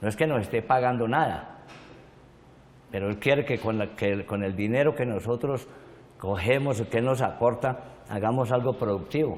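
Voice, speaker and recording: A man with a medium pitch and ordinary pitch variation speaks at a moderate pace, leaving long, frequent pauses. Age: 60s. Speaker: victim of violence, witness. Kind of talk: testimony. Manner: halting.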